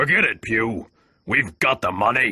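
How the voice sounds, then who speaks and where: A man uses a put-on character voice that sounds raspy. He speaks at a moderate pace. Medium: read story.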